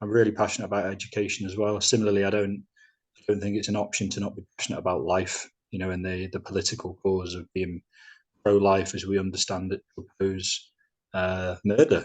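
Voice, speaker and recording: The speaker moves at a fairly quick pace in a monotone, flat intonation against a quiet background. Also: man. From Manchester, northern England. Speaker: podcast host, teacher. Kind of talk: casual podcast chat.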